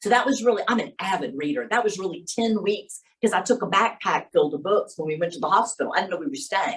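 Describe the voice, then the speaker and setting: A woman speaks at a very fast pace with hardly any pauses. Her medium-pitched voice is somewhat breathy, with lively intonation. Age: 60s. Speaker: workshop presenter. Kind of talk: workshop talk. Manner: casual, conversational.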